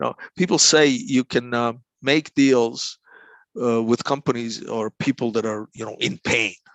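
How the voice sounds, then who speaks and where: A man with a Croatian accent talks at a moderate pace and medium pitch, with ordinary pitch variation. The recording is dry and close with no echo, set against a quiet background. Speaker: negotiation consultant. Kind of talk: interview. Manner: halting, many repeated words.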